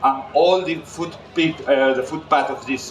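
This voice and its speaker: Speaking with a Catalan accent, a man talks at a moderate pace with ordinary pitch variation over noticeable background noise. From Catalonia, Spain. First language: Spanish/Catalan. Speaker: chef. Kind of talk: cooking demonstration.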